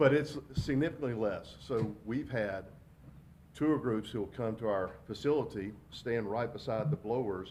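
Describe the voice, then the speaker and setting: The voice belongs to a man. His pitch is medium, with ordinary variation. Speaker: wastewater company representative. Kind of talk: public presentation. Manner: loud.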